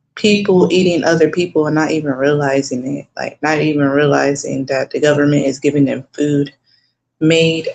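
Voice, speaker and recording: At a moderate pace, a woman with an American accent speaks in a very deep, low voice. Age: 30s. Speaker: vlogger. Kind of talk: casual chat. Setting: at home. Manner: casual, hesitant with fillers.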